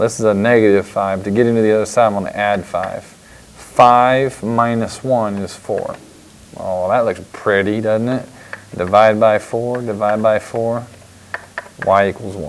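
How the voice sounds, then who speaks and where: Over noticeable background noise, a man speaks fairly slowly at a fairly low pitch, with fairly even intonation. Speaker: math teacher. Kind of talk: tutorial.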